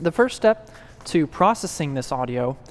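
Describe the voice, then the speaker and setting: This is a man speaking. His intonation is lively. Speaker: student giving a class speech, audio engineer. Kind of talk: informative speech with live demo. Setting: church stage with audience. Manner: explanatory, presentational.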